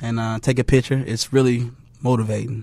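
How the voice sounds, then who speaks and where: Fairly even intonation from a man, medium in pitch and moderate in pace. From Chicago. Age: 20s. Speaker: music producer. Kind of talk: casual chat.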